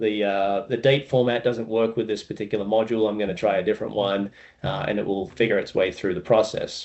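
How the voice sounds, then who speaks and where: With an American accent, a man delivers his words in a monotone, flat intonation at a medium pitch and a fairly quick pace. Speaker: tech solution engineer presenter. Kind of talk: webinar product demo. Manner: casual, many fillers (um, uh).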